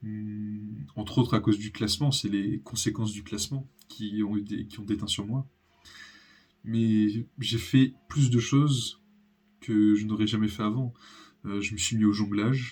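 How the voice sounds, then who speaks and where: A man with a fairly low voice speaks fairly slowly, keeping his intonation fairly even. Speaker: youtuber. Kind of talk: personal vlog monologue. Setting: home recording, natural daylight. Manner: halting, many pauses.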